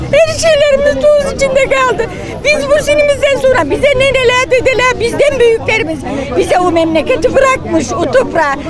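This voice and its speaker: A woman's extremely high voice with lively intonation, amid audible room echo and crowd noise in the background. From Çanakkale, northwestern Turkey. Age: 80s+. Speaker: villager protester. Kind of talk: protest testimony. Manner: emotional pleading.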